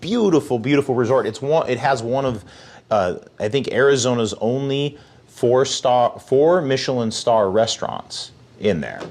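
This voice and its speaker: In a normal speaking voice, a man talks at a moderate pace and medium pitch with ordinary pitch variation and big swings in loudness. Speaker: professional charity auctioneer and fundraiser. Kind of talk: casual interview answer.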